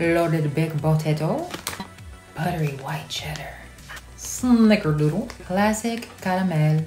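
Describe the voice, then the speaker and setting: Over faint music in the background and audible room echo, a woman speaks at a moderate pace in a fairly low pitch. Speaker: actress. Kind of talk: casual talk to camera. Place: home room. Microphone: phone near.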